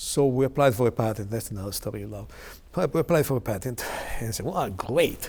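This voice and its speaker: Somewhat breathy and very fast, a man with an Italian accent speaks at medium pitch with lively intonation and big swings in loudness. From Italy, Milan area. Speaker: technology executive. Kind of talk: oral history interview. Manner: halting, many fillers.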